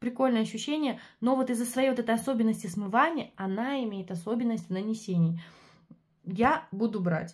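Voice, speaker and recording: Somewhat breathy and fairly high, a woman's voice has ordinary pitch variation and a moderate pace. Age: 20s. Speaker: beauty product reviewer and sales consultant. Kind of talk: product review vlog. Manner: animated.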